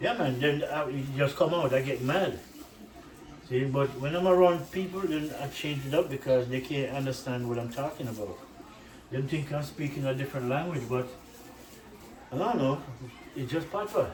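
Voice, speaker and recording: A man with a strong Jamaican accent talks at a moderate pace in a fairly high pitch with ordinary pitch variation and long, frequent pauses. Audible room echo and noticeable background noise are present. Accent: Jamaican accent, kept strong. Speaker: cooking channel host. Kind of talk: casual cooking vlog. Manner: animated.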